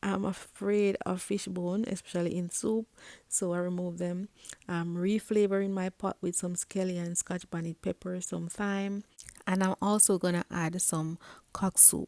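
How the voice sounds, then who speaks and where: Her pitch sits in the middle range. She keeps a monotone, flat intonation throughout. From Jamaica. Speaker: home cook. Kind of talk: cooking tutorial. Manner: soft-spoken.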